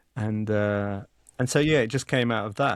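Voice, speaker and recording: Here a man speaks with an English accent. The sound is dry and close, with no echo. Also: very clean recording, silent background. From England. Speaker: author and journalist. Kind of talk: podcast interview. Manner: halting, frequent repetitions and fillers.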